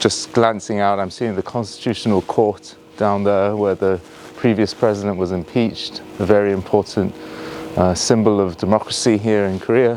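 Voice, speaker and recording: With a Yorkshire accent, a man talks at a moderate pace in a fairly low pitch. His intonation stays monotone and flat against noticeable background noise. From northern England, Yorkshire. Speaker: tour guide. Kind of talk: live virtual tour narration. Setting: outdoors. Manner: halting, many fillers; hushed, quiet.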